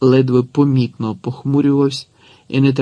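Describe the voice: The delivery here is plain reading aloud.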